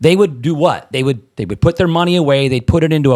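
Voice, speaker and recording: With a Midwestern US accent, a man speaks in an animated tone with lively intonation in a very clean recording with a silent background. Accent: US Midwest. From Nebraska. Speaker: real estate investor and trainer. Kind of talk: casual podcast chat. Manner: animated, repeats words.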